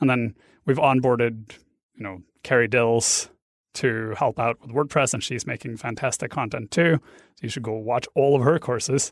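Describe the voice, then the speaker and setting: In a Norwegian accent, a medium-pitched man speaks at a moderate pace with fairly even intonation and big swings in loudness, on a very clean recording with a silent background. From Norway. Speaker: online course instructor. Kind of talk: interview.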